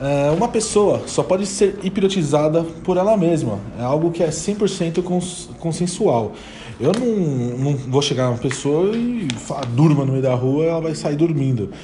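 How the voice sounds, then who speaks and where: In a room with audible echo and noticeable background noise, a man speaks fairly slowly at a fairly high pitch with lively intonation. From São Paulo, Brazil. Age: 20s. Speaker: podcast host, hypnosis student. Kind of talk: casual educational chat.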